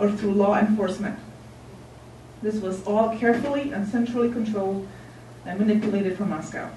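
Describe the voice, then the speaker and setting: A woman's fairly high voice moves at a moderate pace. Noticeable background noise and audible room echo surround her. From Czechoslovakia, Ostrava. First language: Czech. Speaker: member of the public testifying. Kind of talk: public hearing testimony. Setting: city council hearing. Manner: formal, read from prepared text.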